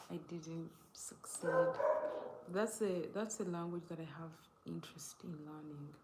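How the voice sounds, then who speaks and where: With a Ugandan accent, a woman speaks fairly slowly at a fairly low pitch with fairly even intonation, big swings in loudness and long, frequent pauses, amid audible room echo. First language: not English. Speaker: live streamer. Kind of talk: casual live stream chat. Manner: halting, self-correcting.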